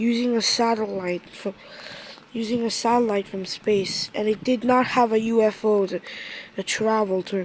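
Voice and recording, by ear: A passage read aloud in a natural voice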